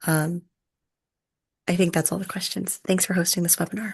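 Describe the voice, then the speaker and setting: A soft-spoken woman talks at a fairly low pitch. Her voice is somewhat breathy. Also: quiet background. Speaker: business school student. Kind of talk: self-introduction. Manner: quiet, soft-spoken.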